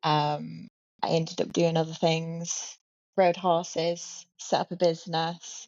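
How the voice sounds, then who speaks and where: A woman with a British accent speaks at a fairly low pitch. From UK. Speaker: newly qualified commercial pilot. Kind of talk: interview. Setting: video call from a hotel room.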